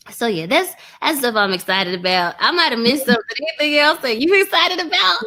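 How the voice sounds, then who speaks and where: Raising and projecting her voice, a woman with a Texas accent talks very fast in an animated tone, her high pitch swinging very widely. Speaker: online trading course creator. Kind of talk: interview.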